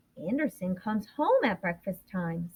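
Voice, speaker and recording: This woman uses a put-on character voice at a medium pitch. She keeps a moderate pace. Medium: read story.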